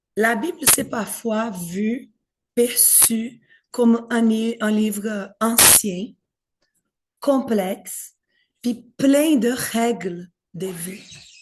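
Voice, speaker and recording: Very slow, somewhat breathy speech in a Brazilian accent, with ordinary pitch variation and long, frequent pauses. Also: woman, fairly high pitch for a woman. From Brazil, São Paulo. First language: Portuguese (speaking French). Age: 40s. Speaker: pastor in training. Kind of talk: talk to an audience.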